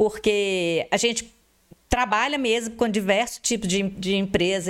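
A woman talks at a moderate pace in an ordinary speaking voice. Her pitch is medium, with fairly even intonation. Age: 50s. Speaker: advertising and events entrepreneur. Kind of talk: interview.

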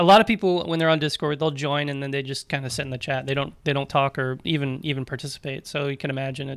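The speech comes at a very fast pace with hardly any pauses and ordinary pitch variation, on a very clean recording with a silent background. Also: man, fairly high pitch for a man. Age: 20s. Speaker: ham radio youth organizer and RF engineer. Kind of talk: casual interview.

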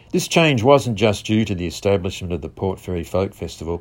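A man's fairly low-pitched voice with an Australian accent, at a fairly quick pace. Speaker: visitor centre promoter. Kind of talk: scripted narration.

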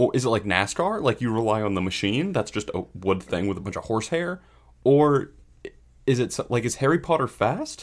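A man with a plain, everyday voice, medium in pitch, with lively intonation. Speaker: podcast co-host. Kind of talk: casual chat about baseball. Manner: laid-back, joking.

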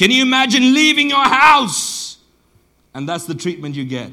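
In a room with audible echo, a man projects a raised, bright, sharp voice at a moderate pace, his pitch swinging very widely. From southern Botswana. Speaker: pastor. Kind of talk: sermon.

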